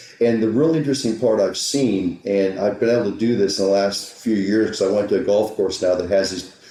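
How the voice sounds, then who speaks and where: A man speaks at a fairly quick pace with ordinary pitch variation and hardly any pauses. Noticeable background noise and audible room echo fill the recording. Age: 50s. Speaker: golf teaching professional. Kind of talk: podcast interview. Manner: animated, repetitive.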